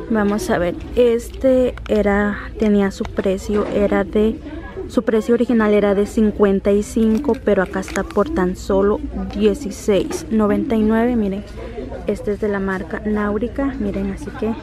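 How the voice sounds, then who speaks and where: This woman talks at a very slow pace with ordinary pitch variation. The sound is dry with no echo, though background noise is noticeable. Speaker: shopping vlogger. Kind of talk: casual vlog chat. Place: shop. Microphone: phone near.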